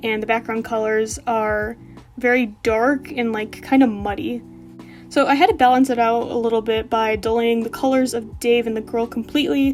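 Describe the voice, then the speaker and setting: Music plays in the background as a woman speaks at a moderate pace. Her pitch is fairly high, with ordinary pitch variation. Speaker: digital artist. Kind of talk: casual speedpaint voiceover. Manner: hesitant, with frequent fillers.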